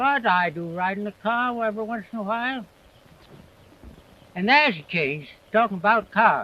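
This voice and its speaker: A man's raised, projected voice with an American accent, high pitch, a bright, sharp tone, ordinary pitch variation and long, frequent pauses. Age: 80s+. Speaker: farmer. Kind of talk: interview answer. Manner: slow, rambling.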